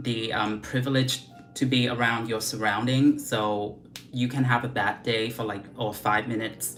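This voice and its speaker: This woman's voice sits very deep and low, her intonation fairly even. Music plays in the background, and the room echo is audible. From Vietnam. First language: Vietnamese. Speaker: beauty vlogger. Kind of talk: casual livestream chat. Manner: casual, chatty with many fillers.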